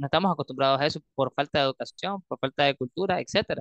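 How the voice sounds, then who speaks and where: A man with a plain, everyday voice speaks at a moderate pace, his pitch fairly high, the sound dry and close with no echo. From Nicaragua. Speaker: crypto community leader. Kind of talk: interview. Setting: remote call.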